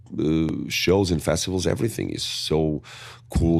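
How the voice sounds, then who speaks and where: On a very clean recording with a silent background, a speaker with a strong Portuguese accent talks with ordinary pitch variation. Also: man. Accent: thick Portuguese accent in English. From Portugal. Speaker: metal band singer. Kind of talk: interview. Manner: hesitant, with many fillers.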